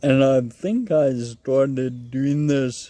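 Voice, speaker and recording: A very slow, monotone delivery with flat intonation and a dark, mellow tone. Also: man. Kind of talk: personal appeal. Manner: slow, slightly slurred speech; halting, repeats words.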